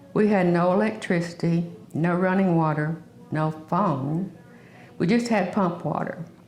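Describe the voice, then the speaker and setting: A woman's fairly low voice with ordinary pitch variation, amid noticeable background noise and audible room echo. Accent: Southern US. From US South. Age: 70s. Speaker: oral history interviewee. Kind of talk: oral history reminiscence.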